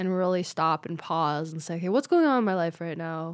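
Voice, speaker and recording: A woman speaks at a moderate pace in an ordinary speaking voice, her pitch fairly low, on a very clean recording with a silent background. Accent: American. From Las Vegas, Nevada. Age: 20s. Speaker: stand-up comedian. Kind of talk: casual chat.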